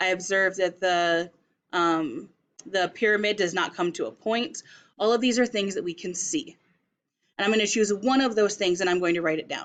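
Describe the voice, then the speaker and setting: A woman with an American accent speaks at a moderate pace and medium pitch, with ordinary pitch variation. It is an ordinary speaking voice over a quiet background. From Las Vegas, US. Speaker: teacher. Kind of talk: tutorial.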